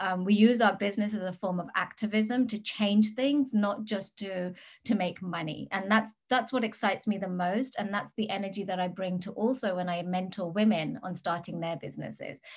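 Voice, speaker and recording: At a moderate pace with hardly any pauses, a woman with an English accent speaks in a medium pitch, somewhat breathy, with ordinary pitch variation. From England. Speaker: business mentor. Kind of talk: interview. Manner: animated.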